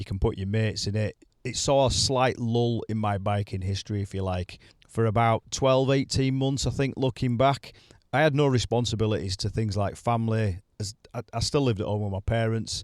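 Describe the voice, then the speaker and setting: A man with a Yorkshire accent speaks at medium pitch and a moderate pace, with fairly even intonation. The sound is dry and close with no echo, on a very clean recording with a silent background. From Leeds, West Yorkshire, England. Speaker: motorcycling podcast host. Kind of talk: solo podcast monologue. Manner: conversational, some repetitions.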